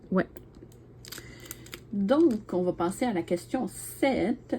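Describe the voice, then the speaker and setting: In a Quebec accent, the speaker has a dark, mellow tone and ordinary pitch variation. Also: woman. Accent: Québécois French. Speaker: YouTuber, diamond painting hobbyist. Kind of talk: casual chat, tag video answering questions. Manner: hesitant, many fillers.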